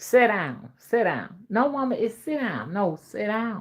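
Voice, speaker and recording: Speaking fairly slowly in a Southern US accent, a woman uses a fairly high pitch, lively intonation and an animated tone, with vocal fry. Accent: old Southern drawl. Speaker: spiritual reader and folk magic practitioner. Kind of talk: casual chat.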